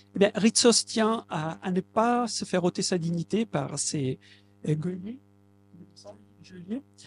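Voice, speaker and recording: A man's high voice with an Italian accent and lively intonation, in a dry, close sound with no echo. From southern Italy, Basilicata. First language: Italian (speaking French). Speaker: translator. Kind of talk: public talk. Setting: bookshop event with audience. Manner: halting.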